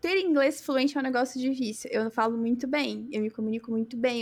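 Moving along rather quickly, a woman's pitch rises and falls in a normal way. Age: 30s. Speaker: software developer and tech lead. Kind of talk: casual chat.

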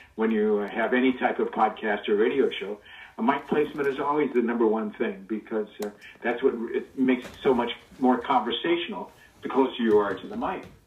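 A man talks fairly quickly at medium pitch with lively intonation. He has an American accent, and there is noticeable background noise. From Los Angeles, US. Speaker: guest, voice actor's son. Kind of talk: casual interview chat, storytelling. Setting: remote recording, audio call. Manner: animated, does cartoon voices.

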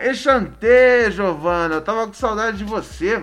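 Music behind a man's voice, his pace moderate. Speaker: podcast host. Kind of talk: casual chat. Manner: animated.

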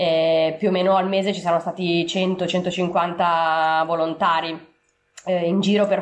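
The speaker is a woman. She talks in a flat monotone. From Italy, Milan. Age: 30s. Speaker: traveller and volunteer. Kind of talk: interview. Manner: halting, with fillers.

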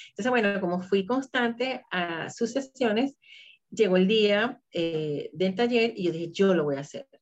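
The delivery has lively intonation at a fairly slow pace. It is a normal speaking voice. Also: woman. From Venezuela. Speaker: holistic therapist and laughter coach. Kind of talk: interview.

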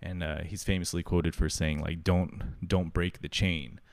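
With a very deep, low pitch and fairly even intonation, a man speaks at a moderate pace on a very clean recording with a silent background. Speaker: podcast host learning to code. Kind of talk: casual solo podcast monologue. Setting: live stream on Twitch. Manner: lots of filler words, halting.

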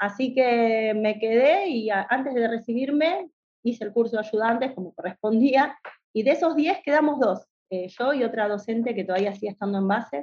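A woman in a Rioplatense accent, fairly high-pitched with lively intonation. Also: moderate pace. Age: 40s. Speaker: veterinarian and university lecturer. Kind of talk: casual interview.

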